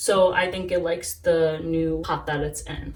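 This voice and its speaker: A woman speaks at a moderate pace with an American accent. Noticeable background noise sits behind her. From New York. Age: 20s. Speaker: plant hobbyist YouTuber. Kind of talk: casual talk to camera.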